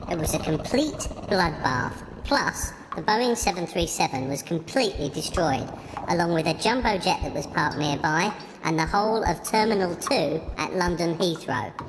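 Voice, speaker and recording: At a moderate pace and middle pitch, a put-on character voice plays against clear background noise. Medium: comedy sketch. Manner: matter-of-fact.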